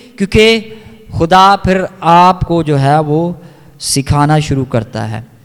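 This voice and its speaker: Pitched high, this man talks with ordinary pitch variation. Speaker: pastor. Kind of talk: sermon preaching in Urdu-Hindi.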